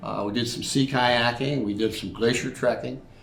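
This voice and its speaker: A man with a medium-pitched voice talks at a moderate pace in a flat monotone, with audible echo from the room. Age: 70s. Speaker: army veteran. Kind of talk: interview.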